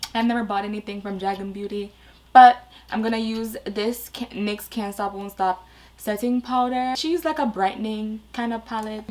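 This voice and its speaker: A woman speaks at a fairly high pitch with fairly even intonation. Noticeable background noise runs underneath. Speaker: beauty YouTuber. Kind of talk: makeup tutorial.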